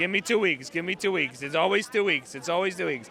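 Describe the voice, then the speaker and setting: This man speaks in a high pitch. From Ukraine. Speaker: protester. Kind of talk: street interview. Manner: halting, stammering.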